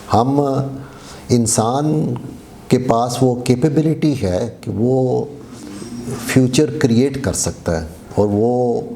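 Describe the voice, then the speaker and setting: Recorded with audible room echo and noticeable background noise, a man speaks at a medium pitch with ordinary pitch variation. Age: 60s. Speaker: lecturer. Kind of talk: lecture. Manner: code-switching Urdu and English.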